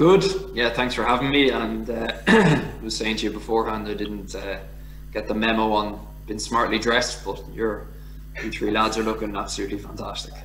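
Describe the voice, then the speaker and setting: Over noticeable background noise and audible room echo, a man with a Dublin accent talks at a moderate pace. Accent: Irish (Dublin). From Ireland, Dublin. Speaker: former professional rugby player. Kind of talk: casual interview.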